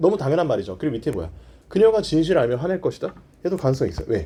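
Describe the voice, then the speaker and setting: This man's fairly high voice has a dark, mellow tone and vocal fry. His pitch swings very widely. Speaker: English grammar lecturer. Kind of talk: lecture. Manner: calm, soothing.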